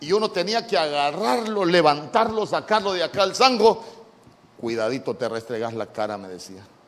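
A man with a high voice speaks at a moderate pace in an animated tone, his pitch swinging very widely over noticeable background noise. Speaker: pastor. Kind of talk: sermon. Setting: church.

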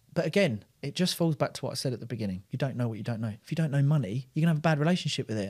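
Very fast, somewhat breathy speech with lively intonation and hardly any pauses. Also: man, fairly high pitch for a man. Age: 30s. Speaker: entrepreneur. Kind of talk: casual chat.

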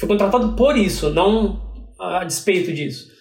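There is audible room echo and noticeable background noise. A man with a high pitch speaks at a moderate pace. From Brazil, interior of São Paulo state (Piracicaba). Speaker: TV screenwriter. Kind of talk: casual interview.

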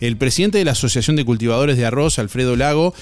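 A man with a Uruguayan accent speaks at a medium pitch. His tone is upbeat and his intonation lively. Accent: Rioplatense Spanish (Uruguayan). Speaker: radio host. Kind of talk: radio DJ patter: morning show hosting with call-in messages, weather and prize giveaway. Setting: live radio studio broadcast. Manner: upbeat, friendly, brisk, conversational radio-host delivery.

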